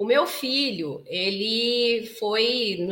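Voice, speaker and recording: Pitched fairly high, a woman's voice carries an animated tone. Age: 40s. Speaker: psychoanalyst and couples therapist. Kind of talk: live stream talk to viewers. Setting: live stream.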